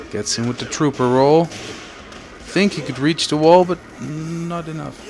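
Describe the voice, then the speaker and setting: Noticeable background noise beneath a man's fairly high pitch, a moderate pace and ordinary pitch variation. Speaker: stream commentator. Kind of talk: live commentary. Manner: casual, hesitant fillers.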